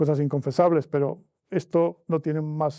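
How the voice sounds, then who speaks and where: A man speaks with a fairly high pitch and a dark, mellow tone. The background is quiet. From northern Spain, Miranda de Ebro. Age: 70s. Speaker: author. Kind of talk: interview.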